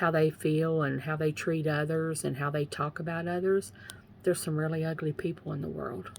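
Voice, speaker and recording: With an Eastern Kentucky accent, a woman speaks at a very deep, low pitch. Her pace is moderate and her intonation fairly even. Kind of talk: faith testimony livestream. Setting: live video from home. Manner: casual, repetitive.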